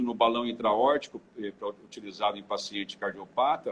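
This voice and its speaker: A man speaks at a moderate pace. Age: 60s. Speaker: clinical engineer. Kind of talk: interview. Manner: halting, many repetitions.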